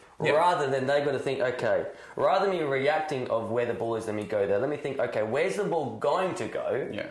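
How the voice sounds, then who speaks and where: The speech moves at a very fast pace over noticeable background noise. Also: man. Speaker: football academy co-host. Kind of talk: casual chat. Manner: mumbling.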